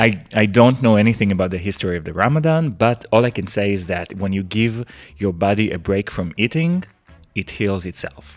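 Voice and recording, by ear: A man's fairly low voice at a moderate pace, with a non-native accent. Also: ordinary pitch variation.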